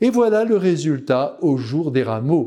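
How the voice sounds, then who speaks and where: Very slowly and in a solemn tone, a man with a high pitch and a dark, mellow tone speaks with very wide pitch swings. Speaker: preacher. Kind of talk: homily on a gospel passage, warm and earnest, spoken directly to the faithful. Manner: fervent, solemn and pastoral, with emotional emphasis on the sorrow of the Christ; measured, didactic pace with rhetorical exclamations, ending in a tender blessing.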